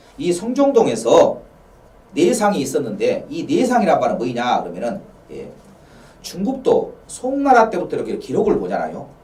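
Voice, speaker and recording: Room echo and noticeable background noise are both audible as a man speaks. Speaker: local history lecturer. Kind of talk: lecture. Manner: fast.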